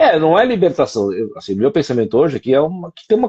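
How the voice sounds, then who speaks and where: Vocal fry colors this man's fairly quick speech. His pitch swings very widely. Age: 60s. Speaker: co-host of a discussion show. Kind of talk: casual conversation.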